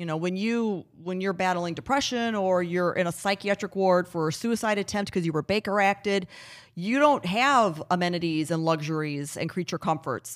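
A woman with an ordinary speaking voice and a medium pitch talks at a moderate pace with ordinary pitch variation, on a very clean recording with a silent background. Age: 40s. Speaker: founder of a suicide prevention nonprofit. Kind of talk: casual interview. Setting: at her home.

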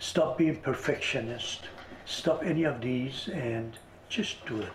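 Very slowly, a man gets his words out while noticeable noise fills the background. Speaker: visionary artist and author. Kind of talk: interview.

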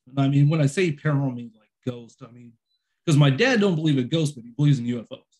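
At a very fast pace and fairly high pitch, a man speaks somewhat breathily, with ordinary pitch variation and big swings in loudness. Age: 40s. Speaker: podcast host. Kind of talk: casual chat.

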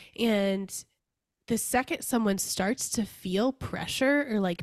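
A woman with an unremarkable speaking voice talks at a fairly high pitch and a fairly slow pace, in a dry, close sound with no echo. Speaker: podcast host. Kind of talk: casual interview chat.

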